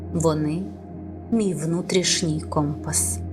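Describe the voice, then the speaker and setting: Soft-spoken delivery in a room with audible echo, music playing in the background. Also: woman. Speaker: voice-over artist. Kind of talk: affirmation reading. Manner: slow.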